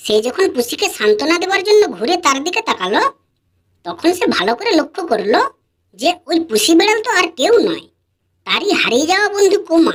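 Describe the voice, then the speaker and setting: This put-on character voice has an extremely high pitch. It moves at a moderate pace. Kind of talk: bedtime story. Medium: read story. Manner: calm, clear, steady narration.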